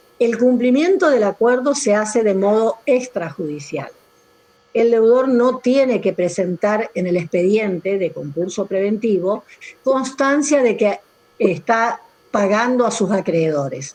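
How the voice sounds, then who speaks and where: An ordinary speaking voice from a woman, fairly high in pitch, fairly slow, with lively intonation. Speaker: law professor. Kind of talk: online lecture.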